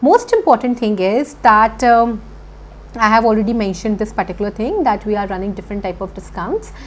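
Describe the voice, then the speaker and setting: Speaking at a fairly quick pace with a Punjabi accent, a woman uses a medium pitch and ordinary pitch variation. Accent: Indian English, Punjabi. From India, Punjab (Chandigarh). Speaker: IELTS teacher. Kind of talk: online lecture.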